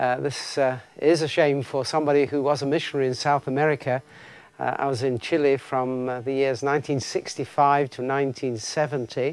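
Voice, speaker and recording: The delivery moves at a fairly quick pace. Its intonation is monotone and flat. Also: man, fairly high pitch for a man. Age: 60s. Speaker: seminary professor and pastor. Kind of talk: recorded video greeting. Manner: halting, many fillers.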